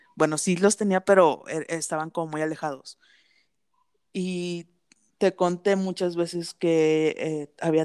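A woman's voice with a dry, close sound and no echo. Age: 20s. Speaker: podcast co-host. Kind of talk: casual chat.

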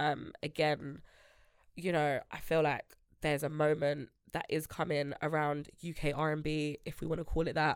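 Recorded very cleanly against a silent background, a woman with a London accent speaks at a very deep, low pitch. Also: moderate pace. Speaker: music industry A&R and founder. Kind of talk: casual chat. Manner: animated.

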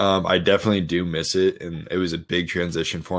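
A man with a very deep, low voice speaks in a flat monotone with an American accent, on a very clean recording with a silent background. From Colorado. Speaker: professional football player. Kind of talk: interview.

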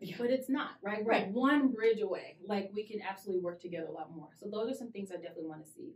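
A woman's medium-pitched voice with an American accent, animated with lively intonation, very fast with hardly any pauses. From Cincinnati, Ohio. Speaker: diversity and talent strategy director. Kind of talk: casual interview.

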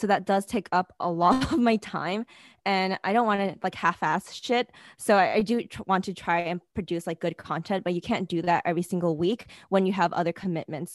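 An ordinary speaking voice with ordinary pitch variation moves at a fairly quick pace over a quiet background. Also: woman, medium pitch for a woman, dry, close sound with no echo. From New York City. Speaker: podcast co-host, product manager. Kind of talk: casual interview.

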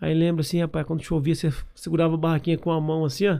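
A man speaks in a monotone, flat intonation. His tone is dark and mellow. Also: very clean recording, silent background. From Paraná, Brazil (Londrina area). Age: 30s. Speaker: entrepreneur and franchise founder. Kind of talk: interview. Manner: casual, filler-heavy speech.

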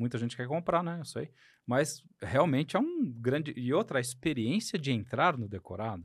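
A fairly high-pitched male voice with lively intonation. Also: moderate pace. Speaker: podcast host, surgeon. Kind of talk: casual interview chat. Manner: halting, many fillers.

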